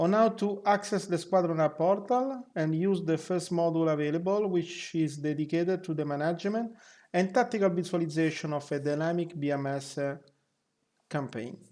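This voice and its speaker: The speaker has a non-native accent and keeps a moderate pace. The background is quiet. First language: not English. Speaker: flight sim group member. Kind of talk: software tutorial narration.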